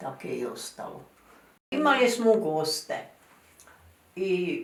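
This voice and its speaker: Very slow delivery with very wide pitch swings. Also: woman, fairly high pitch for a woman. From Croatia. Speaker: grandmother recounting her life. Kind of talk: interview answer. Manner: rambling, losing the thread.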